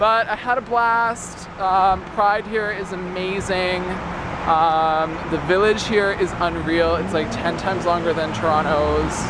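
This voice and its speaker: A man speaks at a fairly slow pace, his voice dry with no echo over noticeable background noise. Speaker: vlogger. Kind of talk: casual vlog chat. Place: street. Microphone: phone near.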